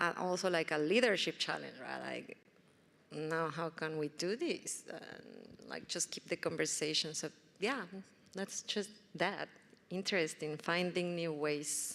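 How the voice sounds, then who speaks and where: A woman's fairly low voice with vocal fry, ordinary pitch variation and a fairly slow pace. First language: not English. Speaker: panelist. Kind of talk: panel discussion.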